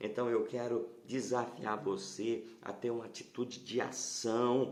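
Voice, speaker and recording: The speaker is soft-spoken, with a monotone, flat intonation. The very slow delivery carries audible room echo. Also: man, medium pitch for a man. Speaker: pastor. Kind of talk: sermon. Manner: halting.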